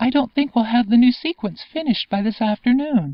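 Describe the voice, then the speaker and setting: A woman uses a put-on character voice, high-pitched and at a fairly quick pace. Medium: read story. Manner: weary, sighing.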